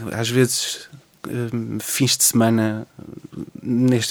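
A man speaks at a medium pitch in a monotone, flat delivery. Noticeable background noise runs behind him. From Portugal, Lisbon area (Cascais line). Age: 20s. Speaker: poet and history teacher. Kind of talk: radio interview. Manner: halting, many repetitions.

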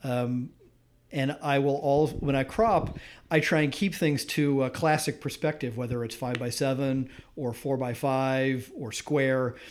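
A man with an American accent speaks at a medium pitch. He has a plain, everyday voice and fairly even intonation. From US Midwest, suburban Detroit, Michigan. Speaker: photographer and former recording engineer. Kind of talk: casual interview conversation. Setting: recorded at his home.

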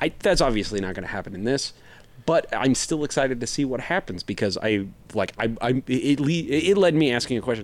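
A man talks at a fairly quick pace with lively intonation and medium pitch. He has an unremarkable speaking voice. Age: 40s. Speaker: podcast co-host. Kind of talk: casual chat.

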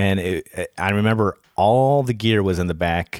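On a very clean recording with a silent background and a dry, close sound with no echo, a man with an American accent speaks in a normal speaking voice, fairly slowly and fairly low in pitch, with ordinary pitch variation. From Rochester, New York. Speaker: podcast co-host and researcher. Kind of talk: casual chat. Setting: studio.

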